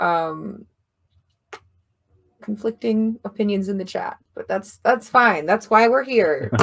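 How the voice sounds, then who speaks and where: A woman talks at a very slow pace, leaving long, frequent pauses. Her pitch is medium, with ordinary variation. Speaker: livestream host. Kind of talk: casual chat. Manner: casual, informal.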